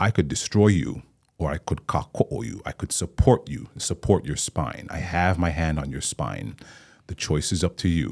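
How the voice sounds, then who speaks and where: A man's very deep, low voice with vocal fry and lively intonation, in a very clean recording with a silent background. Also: moderate pace, dry, close sound with no echo. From Hawaii, Maui. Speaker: actor and playwright. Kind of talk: interview conversation. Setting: studio.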